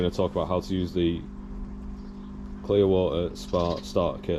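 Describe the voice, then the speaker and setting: This man has a Northern English accent and a very deep, low pitch. His pitch swings very widely. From Northern England. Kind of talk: casual how-to demonstration to camera. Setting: outdoors, garden.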